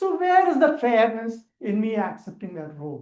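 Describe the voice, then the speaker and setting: The speaker has a Keralan accent. The pace is moderate. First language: Malayalam. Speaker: public speaking trainer. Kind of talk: training lecture.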